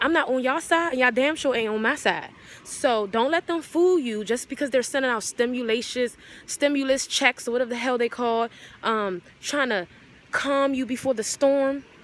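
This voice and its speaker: A woman speaks in a high pitch with an animated tone. Her pitch variation is ordinary. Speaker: vlogger. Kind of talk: casual rant to camera. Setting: outdoors in backyard.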